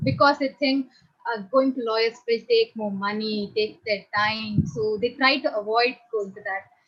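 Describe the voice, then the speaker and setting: Speaking with an Indian accent, a woman talks at a moderate pace with lively intonation. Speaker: audience participant. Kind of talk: audience question.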